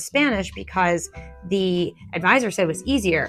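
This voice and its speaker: With music playing in the background, a woman talks at a medium pitch and a moderate pace. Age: 40s. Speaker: artist. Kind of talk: casual talk to camera.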